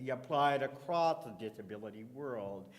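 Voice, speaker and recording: With a Canadian accent, a man talks at a moderate pace and medium pitch with ordinary pitch variation, amid noticeable background noise and audible room echo. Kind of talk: conference panel talk. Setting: conference stage with audience and microphone. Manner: loud.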